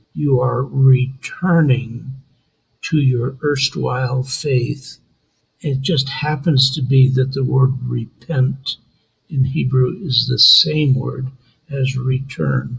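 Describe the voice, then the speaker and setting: At a very slow pace, a man talks in a somewhat breathy voice of medium pitch with fairly even intonation. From Israel, raised in New York. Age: 80s+. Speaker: tour business owner. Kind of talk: interview, personal testimony.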